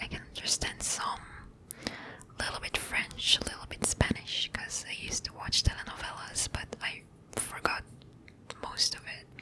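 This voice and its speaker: Someone whispers at a moderate pace, leaving long, frequent pauses. Noticeable background noise sits behind the voice. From Israel. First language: Hebrew. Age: 20s. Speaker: ASMR creator. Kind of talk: casual Q&A, ASMR style. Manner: soft-spoken; halting.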